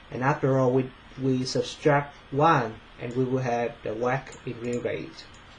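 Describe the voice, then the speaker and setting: Noticeable background noise sits behind the speech. The pace is fairly slow and the intonation fairly even. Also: man, medium pitch for a man. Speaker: finance student. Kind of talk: presentation. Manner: halting, many fillers.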